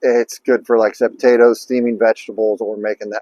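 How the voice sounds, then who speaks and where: A man talks at a very fast pace with a dry, close sound and no echo. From US Midwest. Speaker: cooking YouTuber. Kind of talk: casual tutorial. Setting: outdoors. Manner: casual, filler-heavy.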